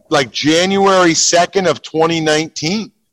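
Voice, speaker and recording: Recorded with a dry, close sound and no echo, a man speaks with an American accent. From Pennsylvania. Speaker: sports radio host. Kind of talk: casual chat. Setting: in a car.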